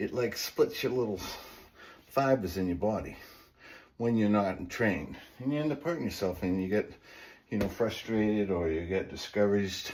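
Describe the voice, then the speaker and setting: A man talks at a moderate pace with a fairly low pitch and ordinary pitch variation. He leaves long, frequent pauses. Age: 60s. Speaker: fitness channel host and small business owner. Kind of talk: workout tutorial. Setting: home basement. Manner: casual, instructive.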